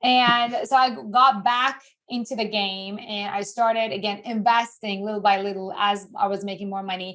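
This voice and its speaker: A woman's fairly high-pitched voice with a non-native accent and ordinary pitch variation. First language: not English. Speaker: investing educator. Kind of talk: interview. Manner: animated.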